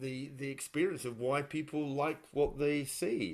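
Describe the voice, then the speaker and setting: A man with an unremarkable speaking voice talks at a fairly slow pace and medium pitch. The recording is very clean, its background silent. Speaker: podcast host. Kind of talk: podcast interview conversation.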